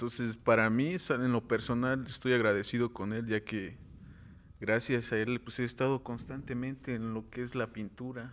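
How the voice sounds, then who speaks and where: Here a man speaks at a fairly slow pace in a medium pitch, with an ordinary speaking voice. The recording is very clean, with a silent background. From Morelos, Mexico. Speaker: muralist. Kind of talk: interview.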